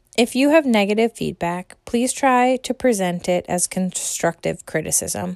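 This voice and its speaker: With an American accent, a woman talks in an ordinary speaking voice at medium pitch, lively in intonation and moderate in pace, with hardly any pauses and a dry, close sound with no echo. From United States. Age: 30s. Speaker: podcast host. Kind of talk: monologue rant. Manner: scripted reading.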